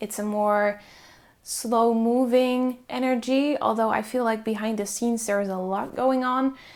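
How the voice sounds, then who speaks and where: A woman with a Dutch accent and a fairly high pitch, speaking at a fairly slow pace with monotone, flat intonation. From Netherlands. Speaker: tarot reader. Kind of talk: pick-a-card tarot reading. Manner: casual, filler-heavy.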